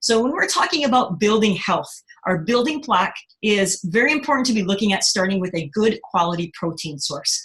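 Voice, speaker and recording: Noticeable background noise accompanies a woman speaking. Her pace is fairly quick and her intonation lively. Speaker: product distributor presenting catalogue. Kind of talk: online product presentation. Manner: fast; hesitant fillers.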